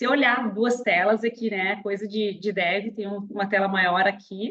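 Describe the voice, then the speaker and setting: Medium pitch and fairly level intonation from a woman. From southern Brazil, Rio Grande do Sul. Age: 40s. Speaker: webinar speaker, career and entrepreneurship advisor. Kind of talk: webinar presentation. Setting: online webinar, screen sharing. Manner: casual, chatty.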